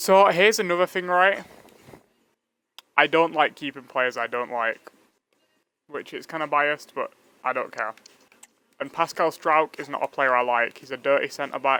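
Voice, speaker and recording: Speaking with a Yorkshire accent and a bright, sharp tone, a man moves at a moderate pace with ordinary pitch variation and long, frequent pauses. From northern England (Leeds). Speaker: gaming streamer. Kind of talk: live gameplay commentary. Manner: casual, chatty.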